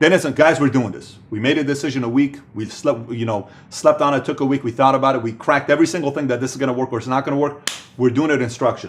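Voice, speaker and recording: A man's animated voice at a medium pitch, rattling along at a very fast pace. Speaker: business speaker. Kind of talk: motivational talk.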